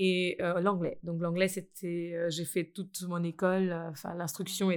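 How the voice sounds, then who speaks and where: The woman's fairly low voice moves at a fairly slow pace with monotone, flat intonation. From India. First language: Indian language (Hindi/Marathi) (speaking French). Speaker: school founder and language teacher. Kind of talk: casual chat.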